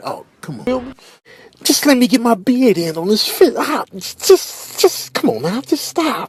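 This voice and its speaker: Very wide pitch swings run through a put-on character voice delivered at a moderate pace. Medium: voice reel. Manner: tough, streetwise.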